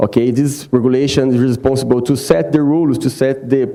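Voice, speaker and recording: Man at medium pitch, fairly quick pace, ordinary pitch variation. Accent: Brazilian Portuguese. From Brazil. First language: Portuguese. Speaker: water quality specialist. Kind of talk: conference presentation. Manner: halting, many fillers.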